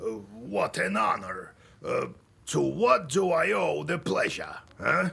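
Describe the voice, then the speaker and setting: Raspy and fairly slow, this is a man's put-on character voice. He keeps it up throughout. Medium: video game. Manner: chuckling, warm.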